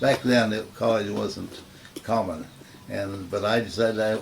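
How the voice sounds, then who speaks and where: Noticeable background noise and audible room echo surround the recording. A man with an American accent speaks at a moderate pace and a fairly low pitch. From US Midwest, rural Nebraska. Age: 80s+. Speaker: retired professor. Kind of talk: oral history interview. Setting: at home. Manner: halting, with frequent fillers.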